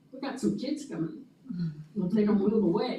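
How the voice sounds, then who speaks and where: Audible room echo surrounds a woman speaking at a fairly quick pace with very wide pitch swings. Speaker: early literacy program presenter. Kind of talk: presentation to school board.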